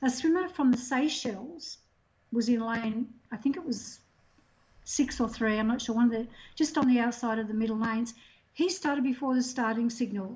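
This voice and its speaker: A woman with an Australian accent speaks at a moderate pace in a high pitch. Her speech has long, frequent pauses. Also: ordinary pitch variation. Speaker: swimming technical official. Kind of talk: interview.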